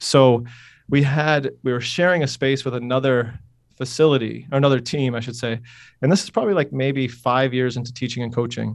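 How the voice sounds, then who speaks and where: A man with an upstate New York accent speaks at a medium pitch and a fairly quick pace, his intonation fairly even against a quiet background. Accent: upstate New York American. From upstate New York, Utica. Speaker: strength coach and PE teacher. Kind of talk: interview. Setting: phone call. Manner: casual, many fillers.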